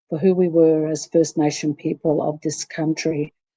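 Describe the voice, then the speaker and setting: A woman talks at a fairly slow pace in a fairly low pitch with a dark, mellow tone. The sound is dry and close, with no echo. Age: 60s. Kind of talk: personal testimony in a workshop talk. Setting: pre-recorded online workshop broadcast. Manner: halting, many fillers.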